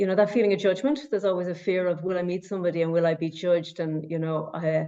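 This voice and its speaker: Speaking very fast, a woman with a Cork accent has a fairly low pitch. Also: ordinary pitch variation. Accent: Cork Irish. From Ireland, Cork. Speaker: past course participant. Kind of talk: testimony. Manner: halting, many repetitions.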